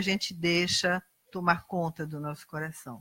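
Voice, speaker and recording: In a Brazilian accent, a woman talks at a moderate pace and medium pitch with ordinary pitch variation, on a very clean recording with a silent background and a dry, close sound with no echo. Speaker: lay preacher. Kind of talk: sermon.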